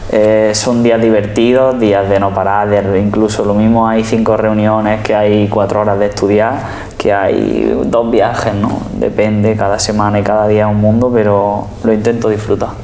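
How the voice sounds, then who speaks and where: A man speaks at a fairly slow pace in a fairly low pitch, his intonation flat and monotone, with hardly any pauses and very even loudness. Noticeable background noise and audible room echo sit around his voice. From Spain, Andalusia (Jaén). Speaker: flamenco pianist and composer. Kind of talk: interview. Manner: halting, repeats words.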